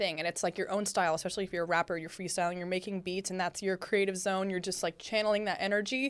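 Against a silent background in a very clean recording, a woman speaks very fast at medium pitch in an animated tone. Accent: American. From Northern California. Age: 20s. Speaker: podcast host. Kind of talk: casual interview chat.

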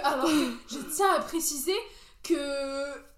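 Room echo can be heard. Through it, a woman talks with lively intonation. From Algeria, Béjaïa. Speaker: podcast guest. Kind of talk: casual chat.

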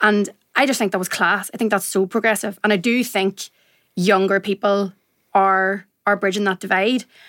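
With a Northern Irish accent, a woman speaks at a moderate pace and a medium pitch. Her intonation is monotone and flat, and the recording is very clean, with a silent background. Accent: Northern Irish (Tyrone). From Northern Ireland, County Tyrone. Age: 20s. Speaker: journalist. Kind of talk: casual chat. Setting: studio.

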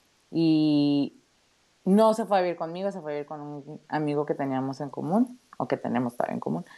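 In a northern Mexican accent, a dark, mellow voice moves at a fairly quick pace with lively intonation and big swings in loudness. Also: woman, very deep, low pitch for a woman. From Mexico, Tijuana (northern border). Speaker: project manager and mother. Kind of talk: casual chat.

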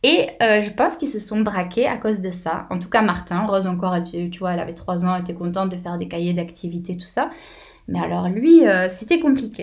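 Somewhat breathy, a woman speaks at a fairly quick pace with audible room echo. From southern France, near Béziers. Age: 20s. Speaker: travelling mother, former optician shop owner. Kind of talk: casual interview.

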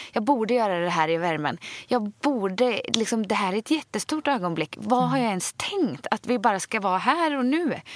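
A woman at a moderate pace with hardly any pauses and very wide pitch swings, in a dry, close sound with no echo. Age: 30s. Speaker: podcast co-host. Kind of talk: casual chat.

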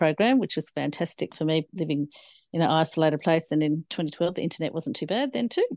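A woman's very deep, low voice, dry and close with no echo, over a quiet background. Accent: Australian. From Australia, Snowy Mountains, New South Wales. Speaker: farmer and ag trainer. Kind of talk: interview.

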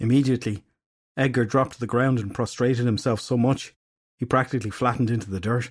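Plain reading aloud with fairly even intonation is heard against a quiet background.

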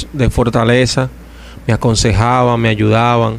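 Intonation is monotone and flat. The delivery runs at a fairly slow pace. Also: man. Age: 30s. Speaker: evangelical preacher. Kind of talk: testimony.

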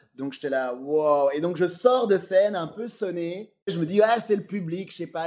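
This man's voice sits high in pitch and shows ordinary pitch variation. He talks at a fairly slow pace. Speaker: comedian. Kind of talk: casual interview. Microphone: slight echo from speaker problem.

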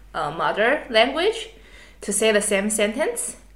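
A woman with a Chinese accent speaks at a very slow pace and a fairly high pitch. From Taiwan. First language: Mandarin Chinese. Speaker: podcast host, master's student. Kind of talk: casual chat.

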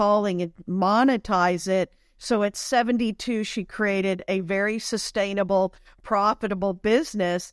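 A woman's plain, everyday voice at medium pitch, with fairly even intonation and a moderate pace, dry and close with no echo on a very clean recording with a silent background. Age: 50s. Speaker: spiritual and business coach. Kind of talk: interview.

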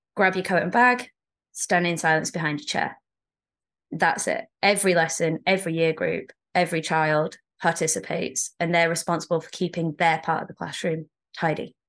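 Moderate pace with a British accent, fairly even intonation, big swings in loudness and a quiet background. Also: woman, fairly low pitch for a woman. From England. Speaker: teacher. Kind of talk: casual chat.

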